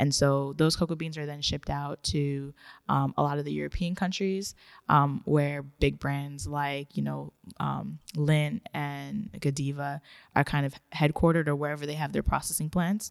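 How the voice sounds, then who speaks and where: At a moderate pace, a woman speaks with a very deep, low pitch and ordinary pitch variation. The recording is very clean, with a silent background. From born in Ghana. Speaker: high school math teacher and chocolatier. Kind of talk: interview.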